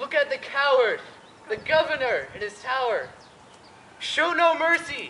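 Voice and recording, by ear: Someone puts on a character voice with a bright, sharp tone, big pitch swings and a fairly slow pace, with audible room echo around it. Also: woman, high pitch for a woman.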